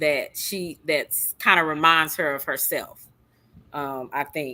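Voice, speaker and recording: Bright, sharp tone from a woman with a slight Texas accent, at a fairly slow pace, on a very clean recording with a silent background. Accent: slight country Texas. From Southeast Texas. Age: 50s. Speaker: live stream host. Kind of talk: casual chat.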